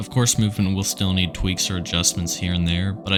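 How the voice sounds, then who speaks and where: A man with very deep, low pitch and ordinary pitch variation at a fairly quick pace, with music in the background. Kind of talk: video game feedback voice-over.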